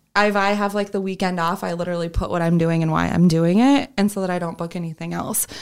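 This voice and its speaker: The speech comes in an American accent at a very fast pace. Intonation stays fairly even, with hardly any pauses. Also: woman, fairly low pitch for a woman. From US Midwest, Sioux Falls, South Dakota. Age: 20s. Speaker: entrepreneur, event business owner. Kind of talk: casual interview.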